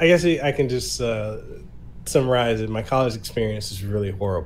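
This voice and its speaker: Heard with audible room echo, the speaker talks in an American accent. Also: man. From Samoa and Memphis, US South. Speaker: podcast host and content creator. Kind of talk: casual interview chat. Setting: online podcast recording.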